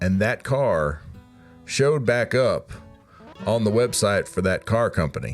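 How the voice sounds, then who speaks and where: With an American accent, a man speaks at a fairly slow pace, leaving long, frequent pauses. His loudness stays very even, and music plays in the background. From Omaha, Nebraska. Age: 30s. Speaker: stand-up comedian. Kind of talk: comedic rant to camera. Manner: casual, rambling.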